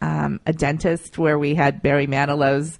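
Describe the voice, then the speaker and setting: A woman with an American accent. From Ohio, US Midwest. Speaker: PR founder. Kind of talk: radio interview.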